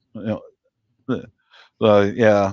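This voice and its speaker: A man at a moderate pace, in a dry, close sound with no echo, against a quiet background. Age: 60s. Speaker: live-stream chat host. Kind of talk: casual chat.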